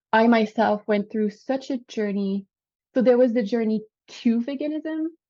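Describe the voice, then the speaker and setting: A woman with a French Canadian accent, a fairly high pitch and a dark, mellow tone, with ordinary pitch variation. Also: moderate pace, quiet background. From Quebec. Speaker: vegan lifestyle coach. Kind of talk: podcast interview.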